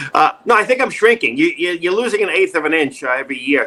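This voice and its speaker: Amid noticeable background noise, a man with a New York accent talks in a raised, projected voice at a very fast pace, his high pitch making very wide swings. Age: 60s. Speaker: actor, acting coach and former stand-up comedian. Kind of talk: casual interview. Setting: video call. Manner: animated, joking.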